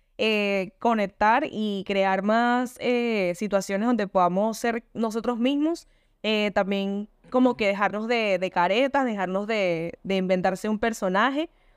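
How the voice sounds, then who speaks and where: A woman with a plain, everyday voice speaks at a fairly high pitch and fairly slow pace over a quiet background. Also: ordinary pitch variation. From Venezuela. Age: 20s. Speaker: podcast co-host. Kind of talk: casual chat.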